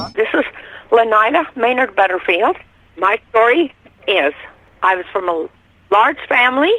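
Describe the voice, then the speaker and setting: Fairly high in pitch, a woman speaks with an American accent at a moderate pace. Her voice moves in very wide pitch swings, with long, frequent pauses. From Utah, Salt Lake City area. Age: 80s+. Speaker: eyewitness. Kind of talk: testimony.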